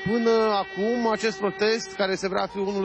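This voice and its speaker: Recorded with a dry sound and no echo, a man speaks at a moderate pace over noticeable background noise. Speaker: TV field reporter. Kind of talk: live news report. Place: street. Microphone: handheld.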